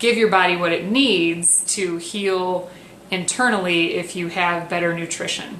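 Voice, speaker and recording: Speaking very slowly at a medium pitch with ordinary pitch variation, a woman is heard amid audible room echo and noticeable background noise. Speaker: wellness coach. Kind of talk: tutorial. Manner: soft-spoken; hesitant with fillers.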